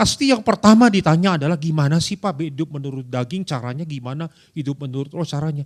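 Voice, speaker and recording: Very fast, animated speech with ordinary pitch variation and a West Javanese accent, in a very clean recording with a silent background. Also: man, fairly high pitch for a man. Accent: Sundanese. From Indonesia, Bandung (West Java). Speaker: pastor. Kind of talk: sermon. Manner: conversational, animated.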